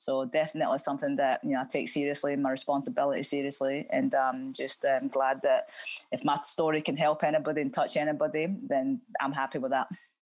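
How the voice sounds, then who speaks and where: A woman speaks very fast in a Scottish accent. Her loudness stays very even over a quiet background. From Scotland, Cumbernauld. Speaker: former professional footballer. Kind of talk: interview. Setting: video call. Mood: calm, earnest. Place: home room. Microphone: earbuds.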